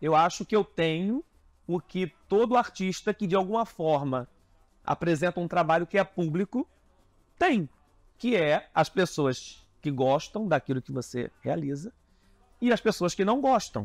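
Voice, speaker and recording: A man with a high voice talks at a fairly slow pace, leaving long, frequent pauses. His intonation is lively, and the sound is dry with no echo over a quiet background. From Rio de Janeiro. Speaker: carnival designer; interviewee. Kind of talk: interview. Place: home room. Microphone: lapel.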